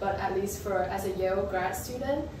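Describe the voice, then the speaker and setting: A woman at a moderate pace amid noticeable background noise and audible room echo. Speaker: architecture graduate student and video creator. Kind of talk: casual talk to camera. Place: home room. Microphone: camera far.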